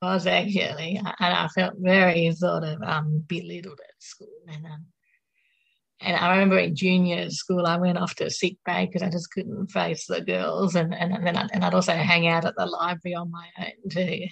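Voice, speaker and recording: Talking at a moderate pace in an Australian accent, a woman uses a fairly low pitch with monotone, flat intonation, vocal fry and big swings in loudness. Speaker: mental health speaker and poet. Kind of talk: casual interview with poetry reading. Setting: radio studio.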